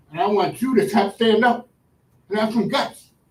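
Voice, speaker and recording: A man speaks at an extremely high pitch. His pace is fairly quick. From Providence, Rhode Island. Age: 70s. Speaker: public commenter. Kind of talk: public comment at a meeting. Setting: school board meeting.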